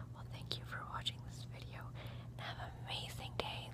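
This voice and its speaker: Soft-spoken, a woman is heard in a dry sound with no echo over loud background noise. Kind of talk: soft role-play talk to viewer. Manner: soft, tender close sign-off. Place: home room. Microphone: phone near.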